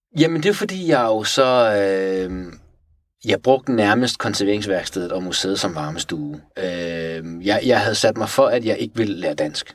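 This man has a plain, everyday voice with a fairly low pitch. He talks fairly slowly with lively intonation. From Iran (Tehran). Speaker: natural history taxidermist. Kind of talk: casual interview.

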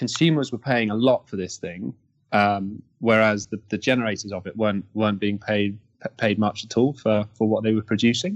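The voice has a southern English accent and a moderate pace. The background is quiet. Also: man. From Kent, England. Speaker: energy company founder. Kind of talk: interview.

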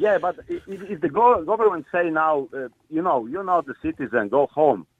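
Using lively intonation, a man with a Polish accent talks at a high pitch and a fairly slow pace. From Poland. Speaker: caller. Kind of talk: radio phone-in. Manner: halting.

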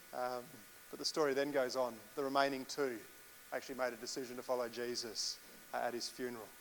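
Amid audible room echo, a man speaks at a fairly quick pace in a medium pitch with fairly even intonation. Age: 40s. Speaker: pastor. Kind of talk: sermon.

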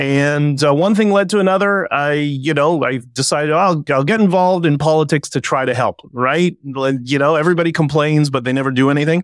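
With a Canadian accent and a plain, everyday voice, a man speaks at a fairly high pitch and a fairly quick pace, with ordinary pitch variation, hardly any pauses and very even loudness. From Canada. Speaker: protest spokesperson and author. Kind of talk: casual interview.

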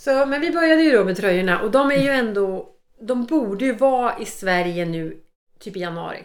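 A woman talks at a fairly quick pace with a fairly high pitch and very wide pitch swings. Audible room echo is present. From Sweden, Norrköping. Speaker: podcast co-host. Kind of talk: casual chat.

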